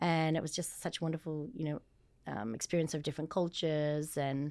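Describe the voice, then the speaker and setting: A woman with an Australian accent speaks at a fairly quick pace with a very deep, low pitch and ordinary pitch variation. The recording is very clean with a silent background. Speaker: former dancer turned fitness entrepreneur. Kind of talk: interview conversation.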